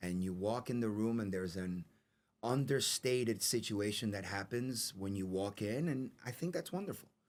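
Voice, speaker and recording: A man's fairly low-pitched voice with a New York accent. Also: ordinary pitch variation, moderate pace. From New York City. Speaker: actor. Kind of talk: interview. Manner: halting, repeats words.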